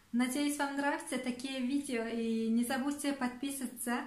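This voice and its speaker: A high-pitched woman with fairly even intonation, audible room echo and noticeable background noise. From Turkmenistan. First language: Turkmen (speaking Turkish). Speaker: vlogger. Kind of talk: self-introduction to camera in four languages. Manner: halting, with fillers and restarts.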